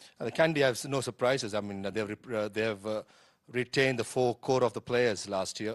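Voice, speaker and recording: In an ordinary speaking voice, a man talks at a fairly quick pace with medium pitch and fairly even intonation. The sound is dry and close with no echo, against a quiet background. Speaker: cricket commentator / analyst. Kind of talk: live sports analyst commentary.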